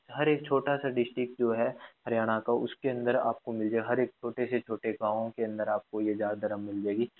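The speaker is a man with a medium-pitched voice. His intonation is monotone and flat. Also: moderate pace. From Haryana, Fatehabad district. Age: 20s. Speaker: podcast host. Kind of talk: casual interview chat.

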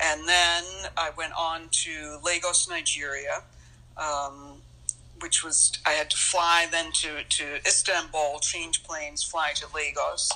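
A woman's fairly low voice, very slow and monotone, flat in intonation, over noticeable background noise. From grew up moving between countries (third culture kid). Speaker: world traveler and author. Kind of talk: casual interview chat.

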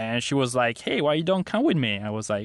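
In an Italian accent, a man of medium pitch speaks with ordinary pitch variation. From Milan, Italy. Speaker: dating app founder. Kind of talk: casual interview. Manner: halting, many fillers.

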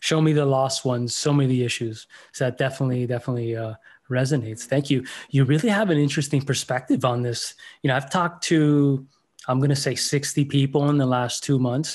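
A man's normal speaking voice with an American accent, medium pitch, fairly even intonation and a fairly quick pace against a quiet background. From Miami, Florida. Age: 40s. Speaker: podcast host. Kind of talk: interview.

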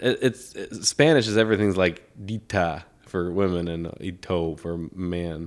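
Very deep, low-pitched male speech at a fairly slow pace, ordinary pitch variation, on a very clean recording with a silent background. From Hong Kong. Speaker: podcast co-host. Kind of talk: casual comedic chat. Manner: joking, laughs often.

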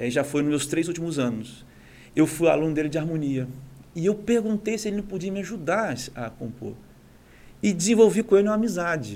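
High-pitched male voice, fairly quick and lively in intonation. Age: 40s. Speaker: conductor and musician. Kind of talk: casual interview. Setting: studio.

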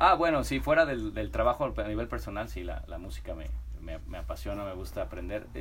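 Moving at a fairly quick pace, a man's voice shows big swings in loudness. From Mexico, Guadalajara and Mexico City. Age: 40s. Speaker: food products entrepreneur. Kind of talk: casual interview.

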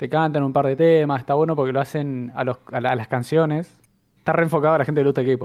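Speaking at a very fast pace in a Rioplatense accent, a man with a fairly high pitch keeps a monotone, flat intonation. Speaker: podcast co-host. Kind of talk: casual chat.

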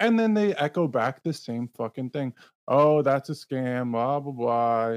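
In a Canadian accent, a man with an unremarkable speaking voice talks at a fairly slow pace and medium pitch, the sound dry and close with no echo and the background quiet. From Canada. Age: 30s. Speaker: podcast host, Bitcoin advocate. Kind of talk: casual chat.

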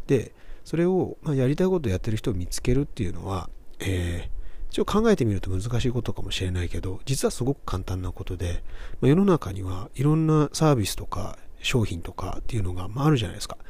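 Very fast and somewhat breathy, this voice has a dark, mellow tone and very wide pitch swings. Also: man, medium pitch for a man. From Japan, Kobe. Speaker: podcast host. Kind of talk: motivational monologue.

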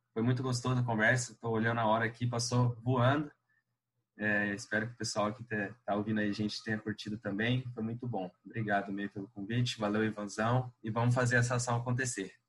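A man speaks at a fairly quick pace. His intonation stays monotone and flat. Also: medium pitch for a man. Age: 20s. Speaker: university student and prayer group coordinator. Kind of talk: casual chat.

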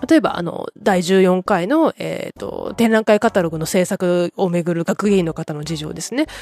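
A woman's medium-pitched, relaxed voice with ordinary pitch variation, dry and close with no echo. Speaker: podcaster. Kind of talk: casual solo podcast talk. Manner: fast; subdued, relaxed late-night talk.

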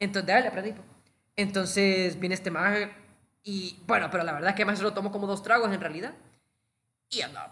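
A man's high, raised, projected voice at a very fast pace. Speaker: podcast co-host. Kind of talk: casual chat.

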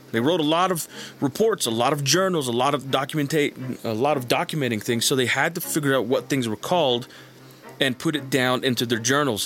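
With a plain, everyday voice, a man talks at a fairly quick pace and medium pitch, using ordinary pitch variation. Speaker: YouTuber and military veteran. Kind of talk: casual monologue.

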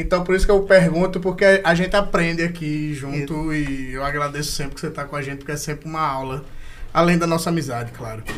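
A man's fairly high voice at a very fast pace with ordinary pitch variation, amid noticeable background noise and audible room echo. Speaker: podcast host. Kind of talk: casual chat. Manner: animated.

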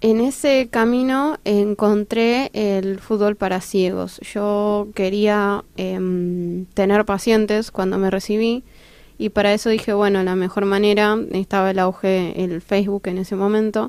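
A woman speaks at a fairly slow pace with hardly any pauses, her medium-pitched voice keeping a fairly even intonation. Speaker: blind football player and psychologist. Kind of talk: interview. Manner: halting.

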